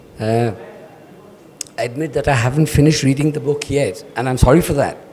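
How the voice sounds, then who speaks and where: A man with a fairly high voice and fairly even intonation is heard through noticeable background noise. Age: 70s. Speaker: audience member. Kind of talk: audience question. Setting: literary event with audience.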